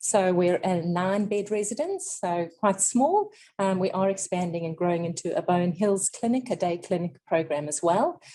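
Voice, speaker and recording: Speaking in a South African accent, a woman holds a moderate pace with hardly any pauses. Her pitch is medium, with ordinary pitch variation. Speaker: clinical nutritionist. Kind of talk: lecture. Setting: seminar room with audience and webinar.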